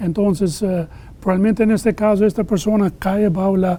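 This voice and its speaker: Here a man speaks with an Albanian accent at a moderate pace. His voice is high in pitch, with a dark, mellow tone. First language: Albanian (speaking Spanish). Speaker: immigration lawyer. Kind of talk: interview. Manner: halting.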